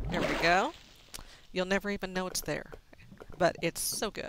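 A woman with a medium-pitched voice speaks in an American accent. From Texas. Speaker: gaming video creator. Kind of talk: gameplay cooking tutorial. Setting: recorded over video game. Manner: casual, hesitant with fillers.

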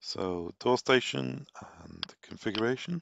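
A man with vocal fry talks at a medium pitch and a fairly slow pace, his intonation lively, in a dry, close sound with no echo.

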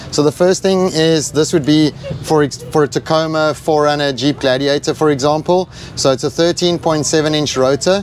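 A man talks at a moderate pace with very even loudness and fairly even intonation. The sound is dry with no echo, over light background noise. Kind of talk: product demonstration. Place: street. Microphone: lapel.

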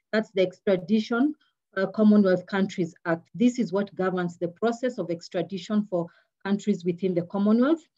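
Somewhat breathy speech with ordinary pitch variation. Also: woman, medium pitch for a woman, moderate pace. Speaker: public prosecutor. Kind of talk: webinar presentation. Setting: video call.

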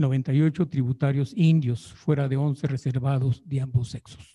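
Against a quiet background, a man speaks very slowly at a fairly high pitch with fairly even intonation. His voice is somewhat breathy, with a dark, mellow tone. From Jiquilpan, Michoacán, Mexico; Michoacán, Mexico. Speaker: historian researcher. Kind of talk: paper reading. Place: hall.

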